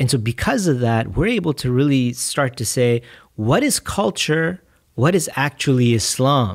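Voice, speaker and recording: With an American accent, a man talks at a moderate pace. He leaves long, frequent pauses against a quiet background. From Texas, Fort Bend (Houston area). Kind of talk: casual chat. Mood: thoughtful, calm. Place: studio. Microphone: studio mic.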